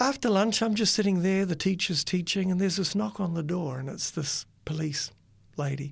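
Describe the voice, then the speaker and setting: A man with a high pitch on a very clean recording with a silent background. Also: lively intonation, moderate pace. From New Zealand. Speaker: university dean and teacher. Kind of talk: casual interview, testimony. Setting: studio.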